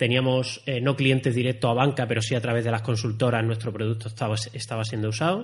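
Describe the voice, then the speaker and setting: A man races along at a very fast pace with hardly any pauses, his medium-pitched, somewhat breathy voice held in a monotone, flat intonation. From Spain, Andalusia (Málaga, San Pedro de Alcántara). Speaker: software engineering manager. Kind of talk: interview conversation. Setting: university recording room.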